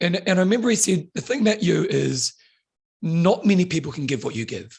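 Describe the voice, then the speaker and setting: A man's voice with very wide pitch swings and vocal fry. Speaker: fitness instructor and author. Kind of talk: casual chat. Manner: fast; animated.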